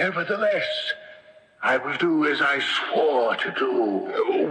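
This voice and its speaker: Doing a put-on character voice, a man speaks at a fairly slow pace with a clear echo around him. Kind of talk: 1970s radio drama acting. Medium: old radio play. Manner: imperious, archaic speech.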